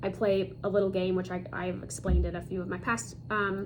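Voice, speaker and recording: Audible room echo surrounds a woman with an American accent speaking at medium pitch. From US Midwest (Chicago and Michigan City, Indiana). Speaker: cross stitch video creator. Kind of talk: casual hobby show-and-tell. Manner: halting, many fillers.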